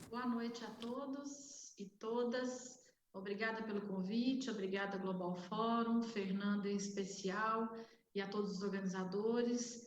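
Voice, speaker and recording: With a Minas Gerais accent, a woman speaks in a fairly high, somewhat breathy voice and a monotone, flat intonation, with audible room echo. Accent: Minas Gerais accent, unchanged. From Minas Gerais, Brazil. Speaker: healthcare executive, panelist. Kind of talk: panel debate self-introduction. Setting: online event.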